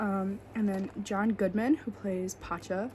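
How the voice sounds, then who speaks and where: Quietly and at a fairly slow pace, a woman speaks over noticeable background noise. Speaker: podcast host. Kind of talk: casual solo podcast talk. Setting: at home, roommate asleep nearby. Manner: quiet, hushed; hesitant, filler-heavy. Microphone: quiet recording.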